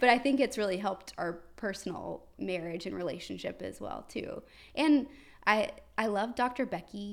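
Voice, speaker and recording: With vocal fry and lively intonation, the speaker moves at a moderate pace through big swings in loudness on a very clean recording with a silent background. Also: woman, medium pitch for a woman. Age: 20s. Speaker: influencer and business owner. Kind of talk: casual chat.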